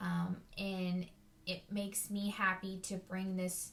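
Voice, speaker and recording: A woman's somewhat breathy, medium-pitched voice in a monotone, flat delivery. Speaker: teacher. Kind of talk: personal reflection monologue. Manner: hesitant, many fillers.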